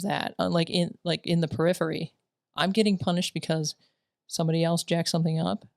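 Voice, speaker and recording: A woman speaks with a fairly low pitch. The recording is very clean and dry, close and free of echo, over a silent background. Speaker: military veteran and school staff co-host. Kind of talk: casual chat. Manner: halting.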